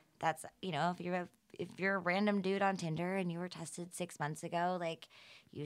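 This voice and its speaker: A woman's fairly low-pitched voice, a plain, everyday voice, at a fairly quick pace on a very clean recording with a silent background. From US South, Atlanta, Georgia. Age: 30s. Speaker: health tech startup founder. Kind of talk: casual interview.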